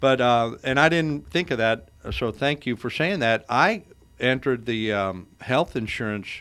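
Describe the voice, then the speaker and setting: On a very clean recording with a silent background, a man with an unremarkable speaking voice talks at a fairly slow pace and medium pitch. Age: 60s. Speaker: insurance agent radio host. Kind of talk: radio talk show interview.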